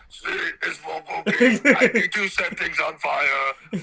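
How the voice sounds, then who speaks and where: A man puts on a character voice at an extremely high pitch, speaking at a fairly slow pace. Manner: gleeful, comically obsessive.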